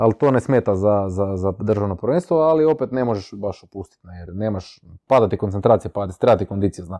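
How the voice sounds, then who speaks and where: At a fairly quick pace, a man with a fairly low pitch and a dark, mellow tone is heard in a dry, close sound with no echo. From Istria, Croatia (Buzet). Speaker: rally driver. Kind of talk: casual chat.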